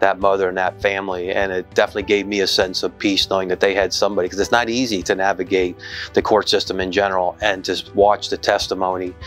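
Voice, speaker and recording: Faint music plays in the background as a man with a fairly low pitch speaks with hardly any pauses. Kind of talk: interview answer. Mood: earnest, reflective. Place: office. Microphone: lapel.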